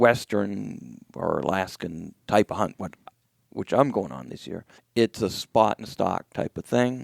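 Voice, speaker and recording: A man with a New England accent uses a fairly low pitch with vocal fry, very wide pitch swings and big swings in loudness, in a dry, close sound with no echo. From New Hampshire, US. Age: 60s. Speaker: hunter and wool company owner. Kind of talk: casual interview conversation.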